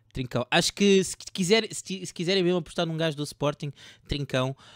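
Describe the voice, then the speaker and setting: A man has an unremarkable speaking voice, moving at a fairly quick pace with ordinary pitch variation. The recording is very clean, with a silent background and a dry, close sound with no echo. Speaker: fantasy football podcast host. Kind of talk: casual chat about fantasy football tips. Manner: joking, informal.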